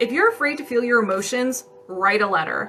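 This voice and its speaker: The intonation is lively as this woman talks at a moderate speed. Background noise is noticeable in the recording. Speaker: energy healer. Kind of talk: live-stream energy healing session with viewer questions. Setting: TikTok live stream. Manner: casual, conversational with fillers.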